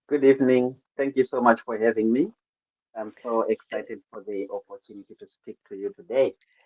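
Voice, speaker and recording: With a Zimbabwean accent, a man talks at a fairly quick pace. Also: big swings in loudness. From Zimbabwe, rural Midlands. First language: Shona. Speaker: poet. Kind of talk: interview.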